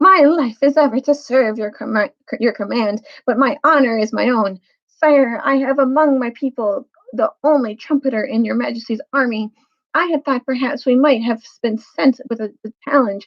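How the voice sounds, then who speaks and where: A woman's shrill, high put-on character voice at a moderate pace. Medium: read story. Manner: courtly, formal.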